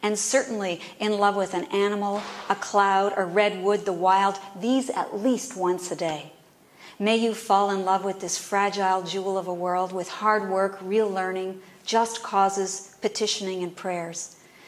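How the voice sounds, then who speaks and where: A woman speaks at a fairly slow pace in an unremarkable speaking voice, with fairly even intonation and a medium pitch. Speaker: poet. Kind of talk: poetry reading. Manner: heartfelt, measured.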